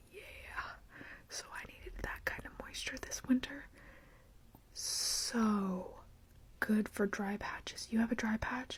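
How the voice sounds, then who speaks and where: Whispering at a very slow pace with long, frequent pauses, the speaker is heard over noticeable background noise. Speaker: beauty vlogger. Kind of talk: casual chat. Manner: soft-spoken; partly whispering.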